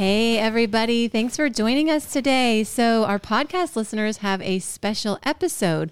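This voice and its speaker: Animated woman's voice, fairly high, at a moderate pace with lively intonation, hardly any pauses and very even loudness, in a very clean recording with a silent background. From US South, Georgia. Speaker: podcast co-host, dog expert. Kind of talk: casual chat, dog trivia quiz. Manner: animated, frequent laughter.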